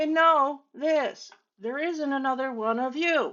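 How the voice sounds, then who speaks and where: Loud speech delivered at a very slow pace. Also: woman. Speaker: hairstylist and business coach. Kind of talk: motivational talk to camera. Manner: animated.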